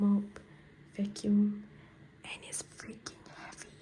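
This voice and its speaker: A woman talks very slowly while noticeable background noise fills the recording. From Malaysia. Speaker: exchange student. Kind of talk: casual room tour vlog.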